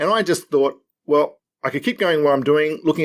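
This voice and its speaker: A man's Australian accent with ordinary pitch variation. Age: 60s. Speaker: financial adviser and author. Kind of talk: podcast interview. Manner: halting.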